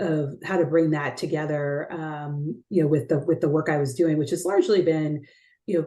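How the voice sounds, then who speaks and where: A woman speaks with an American accent in a very deep, low pitch. Her tone is dark and mellow, her intonation fairly even. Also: moderate pace. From Texas, San Antonio. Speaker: investment executive. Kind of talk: interview. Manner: many fillers and repetitions.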